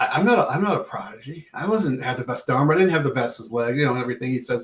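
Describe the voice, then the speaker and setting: A man talks at a very fast pace in a somewhat breathy voice. His pitch sits in the medium range. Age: 60s. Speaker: podcast guest, evangelist and farmer. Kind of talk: casual chat. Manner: animated.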